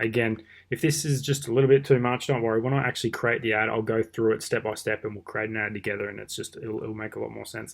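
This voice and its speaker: A man talks at a very fast pace, his intonation fairly even throughout. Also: medium pitch for a man, quiet background. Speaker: online marketing teacher; online marketing tutor. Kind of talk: screen-recorded tutorial. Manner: casual. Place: home room. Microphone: webcam.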